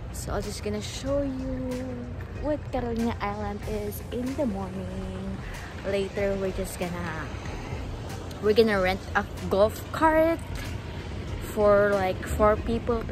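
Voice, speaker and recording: Clear music plays behind a woman speaking at a fairly slow pace. She leaves long, frequent pauses, and the sound is dry with no echo. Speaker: vlogger. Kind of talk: casual vlog chat. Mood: cheerful, birthday morning. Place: waterside. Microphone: phone near.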